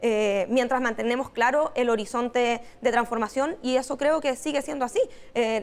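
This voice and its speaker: This woman has a high-pitched voice. Her loudness stays very even. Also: fairly even intonation, moderate pace. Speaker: political campaign strategist. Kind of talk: interview. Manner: hesitant with fillers.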